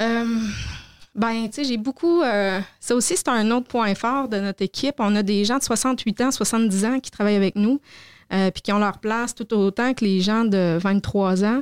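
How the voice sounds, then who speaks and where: In a plain, everyday voice, a woman with fairly high pitch talks at a fairly slow pace with ordinary pitch variation, recorded dry and close with no echo on a very clean, silent background. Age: 40s. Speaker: vocational training center director. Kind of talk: interview.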